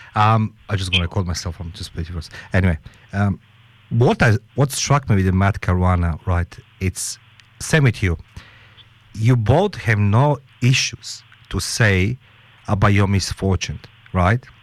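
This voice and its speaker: The speech comes at a fairly slow pace with long, frequent pauses, in a very clean recording with a silent background. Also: man, fairly low pitch for a man, ordinary pitch variation. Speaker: radio show host. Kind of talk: radio interview. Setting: radio studio. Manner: animated, repetitive.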